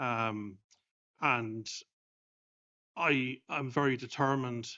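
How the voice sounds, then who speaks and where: With an Irish accent, the speaker talks at a very slow pace with fairly even intonation. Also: man, medium pitch for a man. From Ireland. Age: 50s. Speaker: clergyman, bereaved husband. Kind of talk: panel discussion testimony. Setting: stage with audience.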